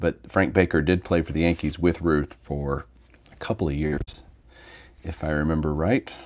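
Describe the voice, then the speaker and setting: A man with a very deep, low pitch speaks in a relaxed tone at a moderate pace, with fairly even intonation and long, frequent pauses. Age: 40s. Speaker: sports card collector YouTuber. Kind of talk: casual livestream chat. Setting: home livestream with mic. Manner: relaxed, conversational. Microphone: phone near.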